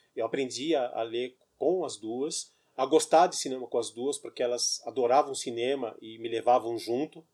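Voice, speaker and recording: This man has an unremarkable speaking voice of medium pitch. He talks at a moderate pace with fairly even intonation. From Brazil, São Paulo. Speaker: writer. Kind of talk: casual chat.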